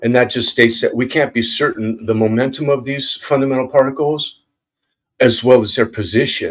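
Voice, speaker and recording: This is a man speaking at a medium pitch. His intonation stays fairly even. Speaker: independent researcher presenting own theory. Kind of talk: casual explanatory presentation. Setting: video call with screen share. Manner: fast.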